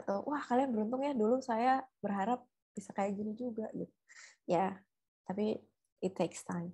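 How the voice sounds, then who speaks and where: A woman speaks at a fairly high pitch in a dark, mellow, somewhat breathy tone, with ordinary pitch variation. She leaves long, frequent pauses against a quiet background. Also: moderate pace. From Indonesia. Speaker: researcher; guest. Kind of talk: webinar talk. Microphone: video call.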